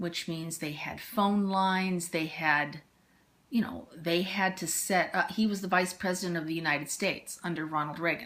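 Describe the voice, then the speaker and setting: A woman speaks at a moderate pace in a fairly low voice, with an American accent and fairly even intonation. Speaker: interviewee, parent of the interviewer. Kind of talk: casual family interview, storytelling. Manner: halting, with fillers.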